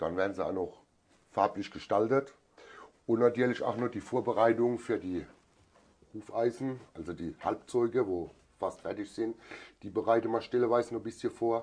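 Speaking at a moderate pace with long, frequent pauses, a man uses a medium pitch and fairly even intonation. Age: 40s. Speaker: farrier and master metalworker. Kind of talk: interview.

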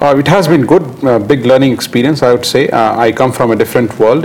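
Fairly quick speech from a man, ordinary pitch variation, noticeable background noise behind. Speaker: company director. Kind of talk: interview. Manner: halting.

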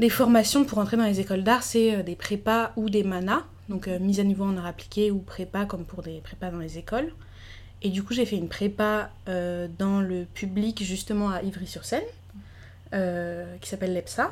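An ordinary speaking voice, moving at a moderate pace, shows ordinary pitch variation. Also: woman, medium pitch for a woman. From France. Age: 20s. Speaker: illustrator. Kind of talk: casual chat.

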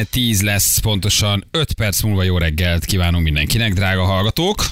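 Speech moves at a fairly slow pace with hardly any pauses and very even loudness. Noticeable background noise runs underneath. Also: man. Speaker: morning radio host. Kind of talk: casual chat. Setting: studio. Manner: animated.

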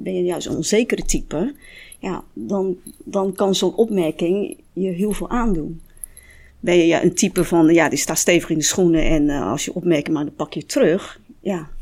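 With lively intonation and a dark, mellow tone, a woman speaks at a moderate pace on a very clean recording with a silent background. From Netherlands. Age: 50s. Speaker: restaurant owner. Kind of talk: panel discussion.

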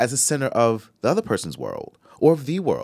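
A man with a normal speaking voice talks at a fairly slow pace, his intonation lively. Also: dry, close sound with no echo. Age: 40s. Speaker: podcast co-host. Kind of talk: casual chat.

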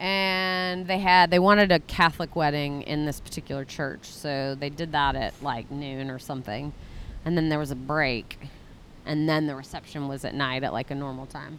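A woman with an American accent speaks at a very deep, low pitch. Her pace is moderate, with ordinary pitch variation. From Texas. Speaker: guest, wife of fellow guest. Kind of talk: casual chat.

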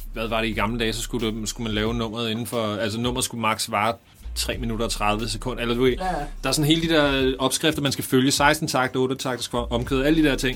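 At a fairly quick pace, the speaker keeps fairly even intonation over noticeable background noise. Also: man, medium pitch for a man. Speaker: rapper. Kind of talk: interview.

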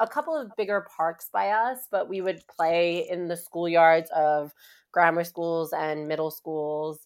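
A fairly slow pace paired with an animated, enthusiastic tone. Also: woman. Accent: New York. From Queens, New York City. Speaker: advertising revenue executive. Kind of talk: casual interview chat. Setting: remote recording from home.

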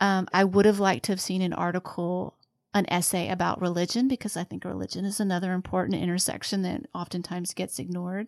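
This woman's speech goes by very rapidly. She has a mid-range pitch. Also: ordinary pitch variation. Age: 40s. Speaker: podcast host, book club organizer. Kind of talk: casual chat.

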